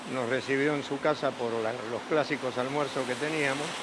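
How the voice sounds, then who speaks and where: Audible room echo and noticeable background noise surround the recording. A man speaks with ordinary pitch variation. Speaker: pope's former schoolmate. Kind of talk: interview. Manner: halting.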